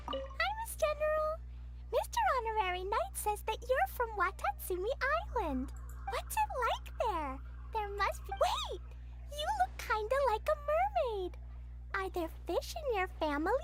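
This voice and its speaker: A woman uses a put-on character voice at a moderate pace, with long, frequent pauses. Loud background noise is present. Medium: video game.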